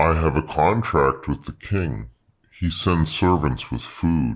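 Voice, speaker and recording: Using a put-on character voice, a man speaks very deep and low at a fairly slow pace on a very clean recording with a silent background. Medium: read story. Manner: nervous, over-apologetic.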